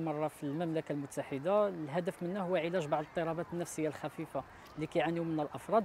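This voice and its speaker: Over light background noise with a dry sound and no echo, a man with a Moroccan accent speaks very fast at a fairly high pitch with fairly even intonation. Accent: Moroccan Darija. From Morocco. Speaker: beach library organizer. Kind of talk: interview. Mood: friendly, proud. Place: beach. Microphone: lapel.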